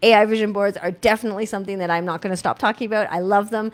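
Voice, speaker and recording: A woman speaks at a very fast pace with an animated tone and medium pitch. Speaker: life coach and workshop host. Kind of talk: casual live stream talk. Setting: live stream.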